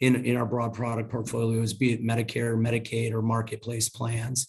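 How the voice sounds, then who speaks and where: Somewhat breathy speech unfolds at a moderate pace. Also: man. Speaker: health insurance company representative. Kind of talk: panel presentation.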